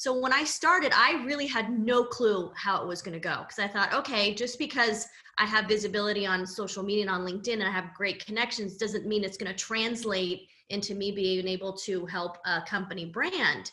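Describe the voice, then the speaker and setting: This woman has an ordinary speaking voice and an American accent, medium in pitch with ordinary pitch variation. She talks at a fairly quick pace with hardly any pauses. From Southern California. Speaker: personal branding coach. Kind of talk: casual interview chat.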